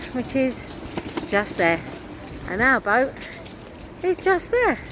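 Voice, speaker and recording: The speech comes at a very slow pace with very wide pitch swings, and noticeable background noise is present. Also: woman, high pitch for a woman. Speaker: vlogger. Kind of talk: casual chat.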